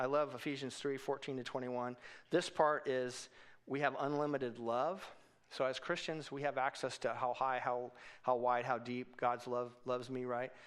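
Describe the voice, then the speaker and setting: Over a quiet background, a man speaks at medium pitch with monotone, flat intonation. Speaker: church leadership trainer. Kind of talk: teaching class. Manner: fast; casual.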